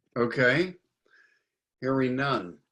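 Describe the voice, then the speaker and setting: A man's medium-pitched voice at a very slow pace, with ordinary pitch variation. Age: 70s. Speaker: network coordinator, meeting host. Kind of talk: online meeting wrap-up.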